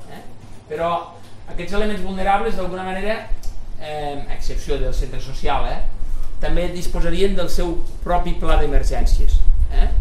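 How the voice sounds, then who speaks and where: Speaking at a moderate pace with long, frequent pauses, a man is heard over light background noise and audible room echo. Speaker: forestry engineering consultant. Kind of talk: technical presentation at public meeting. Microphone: camera far.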